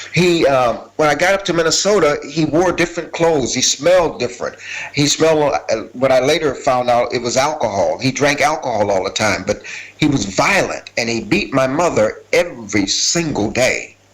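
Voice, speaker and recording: A man's fairly high voice with lively intonation at a moderate pace, over noticeable background noise. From US Midwest, Minneapolis (born Selma, Alabama). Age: 60s. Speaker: former gang leader turned community worker. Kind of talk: testimony. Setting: video call to a conference. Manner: conversational.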